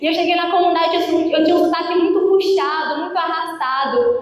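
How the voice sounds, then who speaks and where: In a room with audible echo, a woman talks fairly quickly at an extremely high pitch in an animated tone. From Minas Gerais, Brazil. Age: 20s. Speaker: preacher. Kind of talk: sermon. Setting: prayer group meeting with audience.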